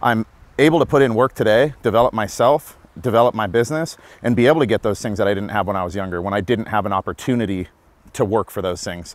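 Very fast speech comes from a man with a fairly low pitch and ordinary pitch variation. The sound is dry with no echo. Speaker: podcast host. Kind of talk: interview answer. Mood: reflective, earnest. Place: street. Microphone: lapel.

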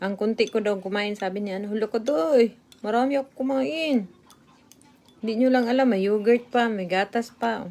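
A woman speaks with a dark, mellow tone and a fairly high pitch. Her pitch varies in an ordinary way. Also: moderate pace. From Visayas, Philippines. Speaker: vlogger. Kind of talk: casual live stream, reading viewer comments while eating. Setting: live stream at home.

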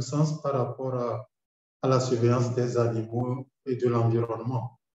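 Speaking at a fairly slow pace and medium pitch, a man has a plain, everyday voice. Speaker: doctor. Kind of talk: webinar presentation.

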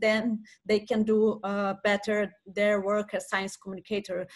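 A woman talks at a fairly slow pace with a Portuguese accent. The background is quiet. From Brazil. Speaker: science communication researcher and lecturer; lecturer. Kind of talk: webinar presentation. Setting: video call. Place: home room. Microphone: video call.

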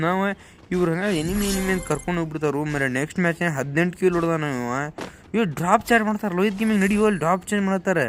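This man has a high-pitched voice. His pitch variation is ordinary. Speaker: gaming YouTuber. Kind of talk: live gameplay commentary. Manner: animated; soft-spoken.

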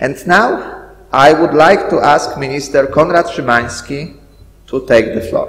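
A man with a Polish accent speaks at a fairly slow pace, his pitch fairly high with ordinary variation, and audible room echo surrounds him. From Poland. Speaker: school director; event host. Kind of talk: welcoming speech. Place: hall. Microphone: podium.

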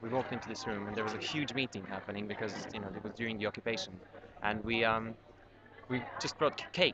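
Over noticeable background noise, a man talks at a very fast pace with ordinary pitch variation, and the sound is dry with no echo. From Serbia. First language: Serbian. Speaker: documentary filmmaker. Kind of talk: interview; interview answer. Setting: on location at a university screening. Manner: halting, many fillers. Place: hall. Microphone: webcam.

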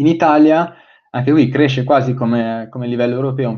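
Over a quiet background, a man talks with fairly even intonation. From Milan, northern Italy. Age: 20s. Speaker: fintech and innovation consultant; guest. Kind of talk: webinar presentation. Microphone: webcam.

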